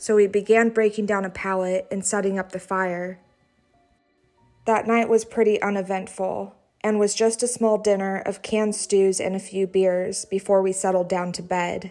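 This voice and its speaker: With music in the background, a woman speaks at a moderate pace and medium pitch in a monotone, flat intonation. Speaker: horror story narrator. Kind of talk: horror story reading.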